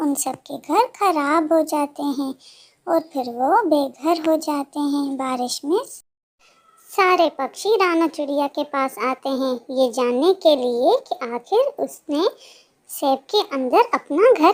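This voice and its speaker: A cartoonish character voice, high in pitch, speaks at a fairly slow pace. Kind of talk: children's cartoon narration. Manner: warm, expressive, sympathetic.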